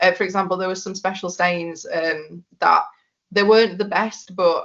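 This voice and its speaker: At a fairly quick pace, a woman with a Yorkshire accent speaks at a medium pitch with fairly even intonation. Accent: broad Yorkshire. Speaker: biomedical scientist. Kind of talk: podcast interview. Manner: toned down accent for podcast.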